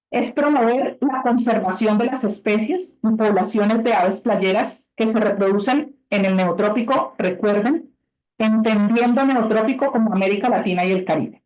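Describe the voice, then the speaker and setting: With music in the background, a woman talks at a moderate pace and a fairly high pitch, her loudness very even. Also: ordinary pitch variation. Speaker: webinar presenter for conservation grants. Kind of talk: webinar presentation. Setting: video call.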